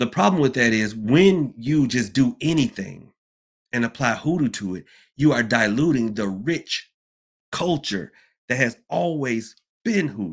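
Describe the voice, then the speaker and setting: A man with a Southern US accent speaks at a fairly slow pace, his medium pitch carried by lively intonation and an animated tone. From US South, Georgia. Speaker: livestream host on hoodoo. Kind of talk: casual livestream talk. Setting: live online stream. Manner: casual, animated, chatty, laughs often.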